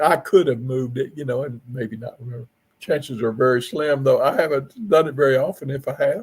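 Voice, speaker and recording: Somewhat breathy and fairly high-pitched, a man talks at a fairly quick pace with big swings in loudness. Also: ordinary pitch variation. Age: 70s. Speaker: paranormal investigator. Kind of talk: podcast interview.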